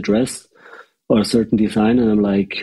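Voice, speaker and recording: Spoken with a German accent at a moderate pace, the delivery is monotone with flat intonation. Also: man. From Austria. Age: 30s. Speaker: fashion creative director. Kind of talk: casual interview conversation. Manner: halting, many restarts and fillers.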